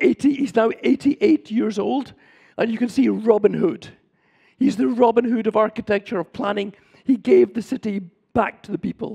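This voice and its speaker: A man with a Scottish accent speaks in a high voice with a dark, mellow tone, recorded dry and close with no echo. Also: ordinary pitch variation, moderate pace. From Scotland. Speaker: urban planner and professor. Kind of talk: lecture.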